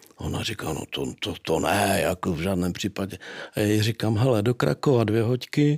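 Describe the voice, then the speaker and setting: A man talks in an ordinary speaking voice at a fairly slow pace. His intonation is lively. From Czech Republic, Moravia (Nový Jičín area). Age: 50s. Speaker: sculptor. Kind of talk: interview.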